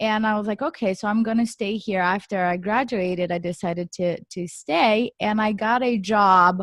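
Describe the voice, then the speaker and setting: A woman with a Portuguese accent speaks at a moderate pace with hardly any pauses, her medium-pitched voice showing ordinary pitch variation in a dry, close sound with no echo. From Brazil. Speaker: real estate developer. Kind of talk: podcast interview.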